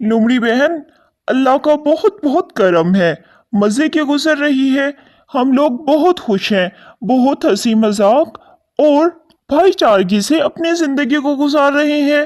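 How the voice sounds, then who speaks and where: A female-sounding cartoonish character voice speaks at a high pitch and a fairly slow pace. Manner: earnest, polite.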